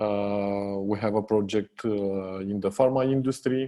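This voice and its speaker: In a Romanian accent, a man talks at a very slow pace with a fairly low pitch, a dark, mellow tone and ordinary pitch variation. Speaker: software company co-founder. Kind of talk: podcast interview. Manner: hesitant, many fillers.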